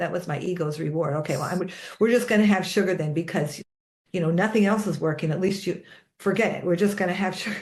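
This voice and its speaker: A woman talks at a very fast pace with a fairly low pitch, somewhat breathy, and fairly even intonation. Audible room echo surrounds her. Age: 60s. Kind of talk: casual conversation.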